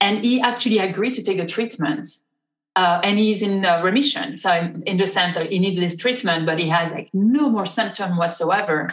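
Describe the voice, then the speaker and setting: A woman with a French accent talks at a moderate pace with ordinary pitch variation, and audible room echo surrounds her voice. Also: medium pitch for a woman. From France. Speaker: rheumatologist. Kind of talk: interview. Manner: halting.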